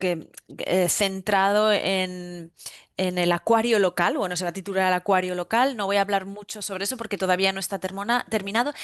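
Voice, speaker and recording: A woman with a medium pitch speaks at a fairly quick pace with fairly even intonation. The sound is dry and close with no echo, over a quiet background. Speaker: digital artist. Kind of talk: panel presentation. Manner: halting, many fillers.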